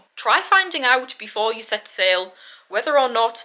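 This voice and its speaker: In a British accent, a woman speaks at a moderate pace with a bright, sharp tone. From UK. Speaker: travel vlogger. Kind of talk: tutorial.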